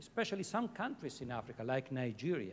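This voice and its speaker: A man with an Italian accent and very wide pitch swings. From Italy. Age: middle-aged. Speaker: head of a fashion sustainability program. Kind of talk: panel talk.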